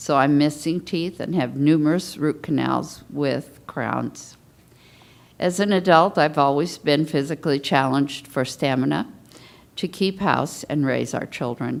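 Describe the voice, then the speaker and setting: A woman with an American accent has a very deep, low pitch and vocal fry. She talks at a fairly slow pace with ordinary pitch variation. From US West Coast (Portland, Los Angeles). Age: 70s. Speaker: patient panelist. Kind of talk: testimony. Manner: reading prepared statement.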